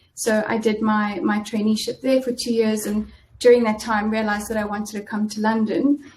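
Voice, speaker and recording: With a South African accent, a woman speaks at a fairly quick pace in a somewhat breathy, fairly high voice with fairly even intonation. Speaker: in-house lawyer. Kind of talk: interview. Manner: halting, many fillers.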